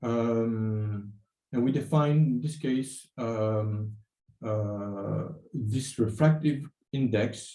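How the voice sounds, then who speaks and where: A man talks very slowly in a dark, mellow tone at a medium pitch with ordinary variation. Room echo is audible. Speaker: university lecturer. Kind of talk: lecture. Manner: halting, many fillers.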